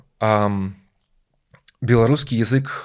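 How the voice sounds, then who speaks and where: Here a man talks with ordinary pitch variation. His voice falls in the medium range for a man. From Belarus. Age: 20s. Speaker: IT worker. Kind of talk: interview.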